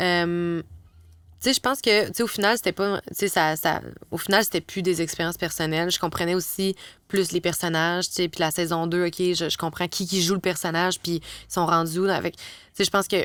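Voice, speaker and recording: A woman's fairly low voice with a Quebec accent, fairly even intonation, a moderate pace, and dry, close sound with no echo on a very clean recording with a silent background. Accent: Québécois French. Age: young. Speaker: advertising copywriter. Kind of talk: casual chat.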